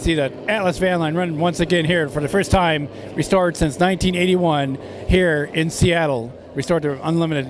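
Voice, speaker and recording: Over noticeable background noise, a man speaks in a high pitch with fairly even intonation, the sound dry with no echo. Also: moderate pace. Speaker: event videographer host. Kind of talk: live race commentary. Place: waterside. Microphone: handheld.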